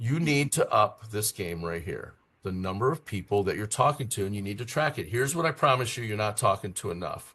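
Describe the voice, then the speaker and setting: A man speaks at a fairly quick pace with a bright, sharp tone and lively intonation over a quiet background. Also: medium pitch for a man, hardly any pauses. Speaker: real estate coach. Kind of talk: podcast discussion. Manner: fast; animated.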